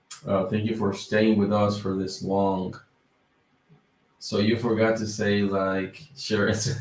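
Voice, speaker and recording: A man's fairly low-pitched voice in audible room echo, very slow pace, long, frequent pauses and fairly even intonation. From Dominican Republic. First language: Spanish. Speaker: YouTuber on business credit. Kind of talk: livestream chat. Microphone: mic problems.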